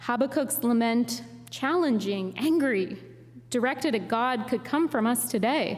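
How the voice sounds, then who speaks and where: A high-pitched woman with an American accent, fairly slow in pace, very even in loudness, over noticeable background noise. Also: ordinary pitch variation. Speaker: guest preacher and poet. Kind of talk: Sunday sermon delivered to a congregation.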